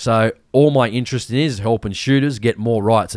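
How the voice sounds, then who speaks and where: The man has an Australian accent and speaks fairly quickly, recorded very cleanly against a silent background with a dry, close sound and no echo. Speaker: hunting podcast host. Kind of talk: casual chat.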